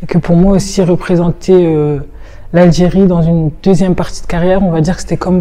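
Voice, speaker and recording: A woman with a fairly low pitch and monotone, flat intonation at a fairly quick pace, over noticeable background noise. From northern France, Roubaix. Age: 20s. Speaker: fencer. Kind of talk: interview testimony.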